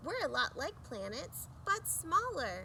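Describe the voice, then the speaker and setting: Over clear background noise, a woman does a put-on character voice at a fairly slow pace. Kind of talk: bedtime story. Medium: read story.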